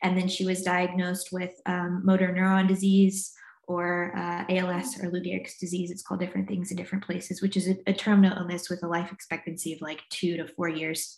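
Monotone, flat intonation with an American accent. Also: woman, medium pitch for a woman. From US South, North Carolina and Virginia. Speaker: trauma and recovery coach. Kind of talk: casual interview chat.

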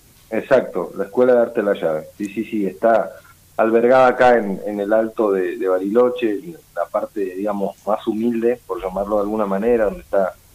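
A man with a medium pitch and ordinary pitch variation talks at a moderate pace as noticeable background noise plays. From Argentina, Patagonia (Río Negro). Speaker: folk ballet director and dance teacher. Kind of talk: interview. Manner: halting, many repetitions.

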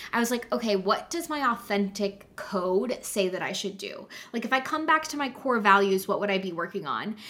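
An animated woman's voice, fairly high in pitch, with lively intonation and a fairly quick pace over noticeable background noise. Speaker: podcast co-host and business coach. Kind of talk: casual chat and interview.

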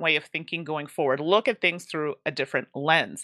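A woman's bright, sharp voice with lively intonation at a moderate pace, dry and close with no echo, on a very clean recording with a silent background. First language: English (speaking French). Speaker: board game content creator. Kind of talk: casual interview.

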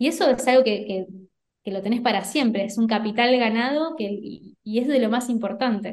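Here is a woman with a plain, everyday voice. She speaks at a moderate pace, her fairly high pitch showing ordinary variation. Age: 30s. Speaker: entrepreneur and online course creator. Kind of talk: interview.

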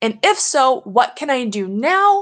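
A woman with an American accent. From US South, Louisiana. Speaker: podcast host, Paralympic snowboarder. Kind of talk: motivational monologue.

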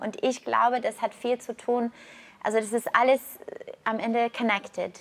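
A woman keeps a moderate pace while noticeable noise sits in the background. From Canada. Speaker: yoga teacher and health coach. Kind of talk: casual interview.

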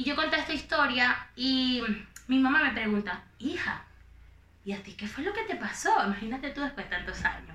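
The voice is raised and projected, swinging very widely in pitch. It moves at a moderate pace with audible room echo. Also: woman, high pitch for a woman. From Venezuela, Valencia (Carabobo). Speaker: influencer. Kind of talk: casual chat.

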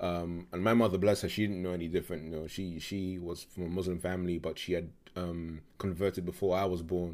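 Hardly pausing, a man with a London accent talks at a fairly quick pace in a very deep, low pitch with monotone, flat intonation. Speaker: podcast guest. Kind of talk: casual interview.

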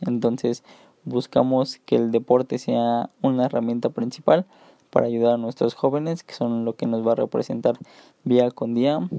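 A man speaks at a moderate pace in a medium pitch, his dark, mellow tone sounding dry and close with no echo and his intonation fairly even. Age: 20s. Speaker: sports coach. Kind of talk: solo podcast talk. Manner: halting.

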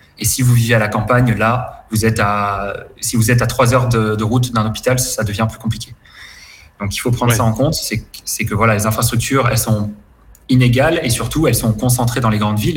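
A man at a medium pitch, fairly quick in pace and fairly even in intonation, with music in the background. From southern France, Côte d'Azur near Cannes. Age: 20s. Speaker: expat guest. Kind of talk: interview.

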